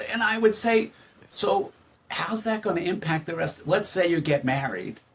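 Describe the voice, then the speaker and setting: A man with a high pitch and lively intonation talks at a moderate pace. Noticeable background noise can be heard. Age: 70s. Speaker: psychologist. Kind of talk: podcast interview.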